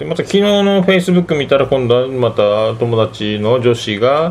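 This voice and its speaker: Noticeable background noise sits behind a man talking at a fairly slow pace. His pitch swings very widely. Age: 40s. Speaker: podcast host. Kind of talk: casual monologue. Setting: home living room.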